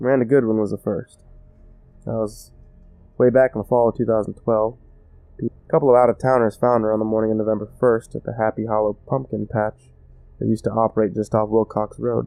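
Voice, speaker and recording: Over music in the background, a man talks at a fairly quick pace and a medium pitch with monotone, flat intonation and long, frequent pauses. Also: dry, close sound with no echo. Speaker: storyteller. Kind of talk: horror story narration.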